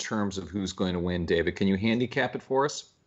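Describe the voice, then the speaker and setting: Using a plain, everyday voice, a man talks at a fairly quick pace in a fairly low pitch. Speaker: interviewer. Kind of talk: interview.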